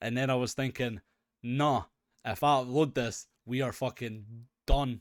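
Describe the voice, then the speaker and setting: A man with a Scottish accent, medium in pitch, fairly slow and fairly even in intonation, in a very clean, dry, close recording with a silent background and no echo. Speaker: gaming podcast co-host. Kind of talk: casual chat.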